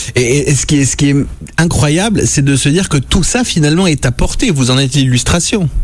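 A man's fairly high voice, ordinary in pitch variation and very even in loudness, against noticeable background noise. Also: moderate pace. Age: 40s. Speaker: radio host. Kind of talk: casual chat. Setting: studio. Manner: animated.

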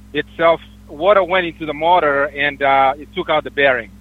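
A man is speaking. His pace is fairly slow. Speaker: truck driver. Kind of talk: call-in question. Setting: phone call.

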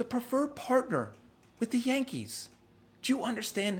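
An animated tone from a man with vocal fry, moderate pace, on a very clean recording with a silent background. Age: 30s. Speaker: vlogger and real estate agent. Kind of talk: casual monologue vlog. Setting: live stream to camera.

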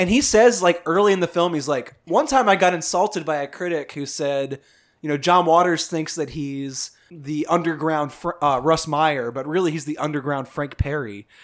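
Captured in a very clean recording with a silent background, a man uses a normal speaking voice at a moderate pace, fairly high in pitch with ordinary variation. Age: 30s. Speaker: film podcast host. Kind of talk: casual chat. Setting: apartment.

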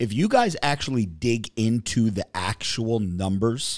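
In a very clean recording with a silent background, a man speaks in an animated tone at a medium pitch with ordinary pitch variation. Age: 40s. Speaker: podcast host. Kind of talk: casual chat. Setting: studio.

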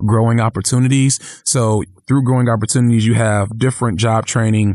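Delivered at a fairly quick pace, an ordinary speaking voice holds fairly even intonation. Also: man. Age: 30s. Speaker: city politician. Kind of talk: interview conversation.

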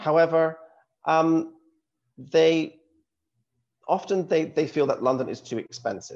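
With a fairly high pitch and ordinary pitch variation, a man speaks fairly slowly and takes long, frequent pauses. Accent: Scottish. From Scotland, small town. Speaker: university recruitment representative. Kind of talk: presentation.

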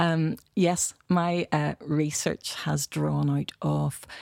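A woman with a Belfast accent, in a dry, close sound with no echo, on a very clean recording with a silent background. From Northern Ireland, Belfast. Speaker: architecture education director. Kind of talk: panel discussion. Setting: studio.

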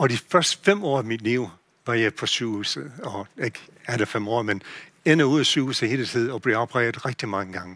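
Speaking in an English accent, a man with a bright, sharp tone and medium pitch moves at a fairly quick pace with lively intonation. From USA. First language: English (speaking Danish). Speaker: pastor. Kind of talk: sermon. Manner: halting.

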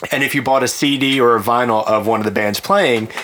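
With an unremarkable speaking voice, a man talks at a fairly quick pace and a medium pitch. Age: 20s. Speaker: lawyer, podcast co-host. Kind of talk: casual chat.

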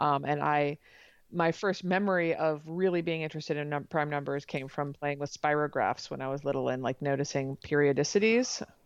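Against a quiet background, a woman with an American accent speaks at a very deep, low pitch with ordinary pitch variation. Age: 40s. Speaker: mathematician and author. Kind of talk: interview. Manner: halting, many fillers and restarts.

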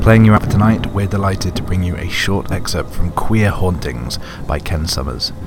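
Over noticeable background noise, a man with a British accent speaks in a very deep, low voice at a moderate pace with ordinary pitch variation. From Britain. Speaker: podcast host. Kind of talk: podcast intro and outro, casual and chatty.

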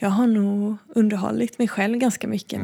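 Her voice sits at a medium pitch. This woman speaks with monotone, flat intonation. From Sweden, Blekinge (forest near Backaryd). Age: 30s. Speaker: visual artist. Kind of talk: interview. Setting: art gallery. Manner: hesitant, with fillers.

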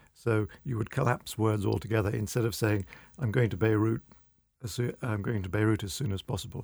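The speaker talks with a British accent. The pace is fairly quick. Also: man, fairly low pitch for a man, ordinary pitch variation. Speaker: magazine editor. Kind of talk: debate discussion. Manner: formal, hesitant with fillers.

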